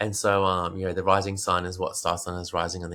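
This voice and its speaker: In a very clean recording with a silent background, a man with an Australian accent talks at a fairly quick pace, his very deep, low pitch carrying a bright, sharp tone. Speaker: meditation teacher and Vedic astrologer. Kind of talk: interview answer.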